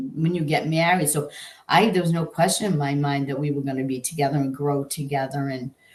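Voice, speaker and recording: With a very deep, low pitch and a somewhat breathy sound, a woman speaks at a fairly quick pace, her pitch varying in an ordinary way. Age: 60s. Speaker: estranged mother and grandmother. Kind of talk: interview testimony. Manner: halting.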